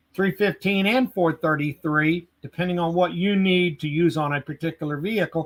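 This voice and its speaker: With an American accent, a man speaks in a high pitch at a moderate pace, with hardly any pauses. His pitch varies in an ordinary way, and the sound is dry and close with no echo. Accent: Southern US accent noticed in Boston. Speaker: tool company product trainer. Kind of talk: technical interview on live webcast. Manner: frequent fillers and repetitions.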